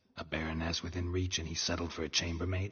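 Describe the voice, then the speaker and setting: Putting on a character voice, a man speaks very fast in a very deep, low register with monotone, flat intonation. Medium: video game. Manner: terse, dry, clipped.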